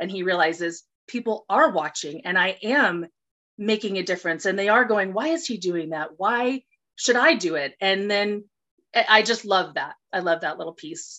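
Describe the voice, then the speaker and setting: A woman with an unremarkable speaking voice and a medium pitch talks at a moderate pace with lively intonation. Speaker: actress. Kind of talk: casual interview.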